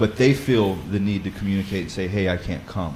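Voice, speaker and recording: This is a man speaking. His pitch is fairly low. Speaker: Bible study leader. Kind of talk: teaching talk. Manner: casual with frequent fillers and repetitions.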